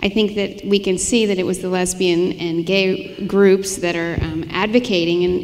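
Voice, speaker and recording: Medium pitch from a female speaker, noticeable background noise behind her. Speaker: lawyer, legal counsel. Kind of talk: onstage interview answer.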